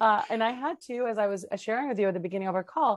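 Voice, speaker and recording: Speaking at a fairly quick pace with a Spanish accent, a woman is heard against a quiet background in a dry sound with no echo. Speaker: tech professional; interview guest. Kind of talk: interview conversation. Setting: video call.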